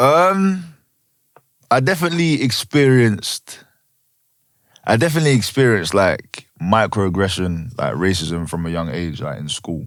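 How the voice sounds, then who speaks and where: A medium-pitched man at a moderate pace, with very wide pitch swings and long, frequent pauses. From East London, England (Chingford). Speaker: actor, host and entertainer. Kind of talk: podcast interview. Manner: casual, laid-back.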